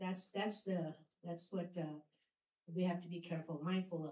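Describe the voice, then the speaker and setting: A non-native accent from a female speaker. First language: not English. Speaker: city mayor. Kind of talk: public speech. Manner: halting.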